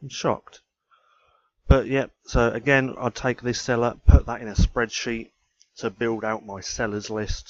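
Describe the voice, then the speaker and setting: Someone mumbles in a British accent at a fairly slow pace, with big swings in loudness. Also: man, medium pitch for a man, fairly even intonation. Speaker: ecommerce trainer, YouTuber. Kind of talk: screen-share tutorial. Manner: mumbling; casual.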